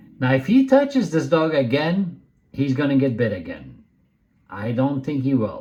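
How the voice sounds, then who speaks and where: In an animated tone, a man talks at a moderate pace amid audible room echo. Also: big swings in loudness. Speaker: dog trainer. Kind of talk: video commentary. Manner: loud; casual, animated.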